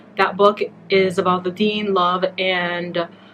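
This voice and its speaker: Here is a woman at medium pitch. Her intonation is monotone and flat. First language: Somali. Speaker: beauty and lifestyle vlogger. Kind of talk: casual vlog talk to camera. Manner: chatty, conversational.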